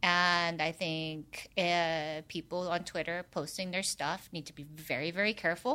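A woman with a fairly low pitch and a bright, sharp tone speaks at a fairly slow pace with hardly any pauses and fairly even intonation, in a very clean recording with a silent background. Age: 50s. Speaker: adult film performer. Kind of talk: casual chat. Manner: loud.

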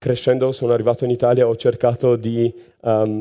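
This man has a medium-pitched voice with a dark, mellow tone and speaks at a fairly quick pace. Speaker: science communicator and youtuber. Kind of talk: live unscripted storytelling talk. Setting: stage with audience.

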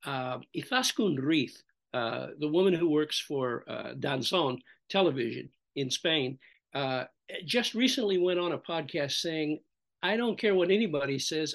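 With an American accent, a man speaks at a moderate pace. His pitch is fairly high and his intonation lively. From US Midwest. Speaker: veteran motorsport journalist. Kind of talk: casual chat.

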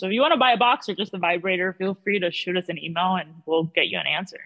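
With music in the background, a woman talks in a medium pitch with lively intonation. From South Florida (Miami), born in Peru. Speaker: small business founder. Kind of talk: interview.

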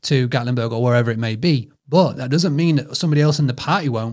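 Speaking at a very fast pace, a man has a fairly high pitch with ordinary pitch variation. The recording is very clean with a silent background. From United Kingdom. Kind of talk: casual interview chat.

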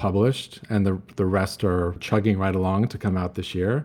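An unremarkable speaking voice from a man, fairly low in pitch, with fairly even intonation and a moderate pace. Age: 50s. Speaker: retail executive and author. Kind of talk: interview.

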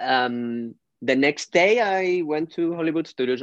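Recorded with a dry, close sound, no echo and a quiet background, a man speaks with lively intonation. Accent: Spanish. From Spain. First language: Spanish. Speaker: fan and podcast supporter. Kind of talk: casual chat. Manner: halting, emotional.

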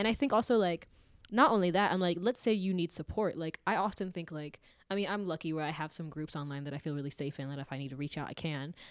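A woman with an American accent, very fast pace and lively intonation. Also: fairly low pitch for a woman, very clean recording, silent background. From suburb of Seattle, US. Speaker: podcast co-host. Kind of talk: casual chat.

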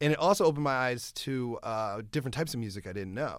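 Someone with an American accent speaks at a fairly quick pace on a very clean recording with a silent background. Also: man. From Iowa. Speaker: comedian. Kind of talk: casual chat.

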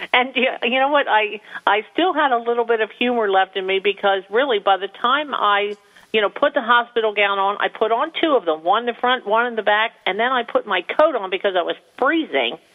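With an American accent and an ordinary speaking voice, a woman talks at a fairly quick pace, fairly high in pitch and lively in intonation. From New Jersey. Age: 50s. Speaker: small business owner. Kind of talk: interview.

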